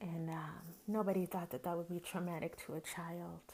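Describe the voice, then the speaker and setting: At a moderate pace, a woman speaks with an American accent. Her pitch is fairly low and her intonation monotone and flat. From US South, Greenwood, Mississippi. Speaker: podcast host. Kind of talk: casual monologue.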